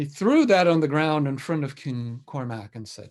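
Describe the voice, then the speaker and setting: On a very clean recording with a silent background, a man speaks in an ordinary speaking voice at a fairly slow pace and fairly high pitch. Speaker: storyteller. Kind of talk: storytelling, folktale telling to a live audience.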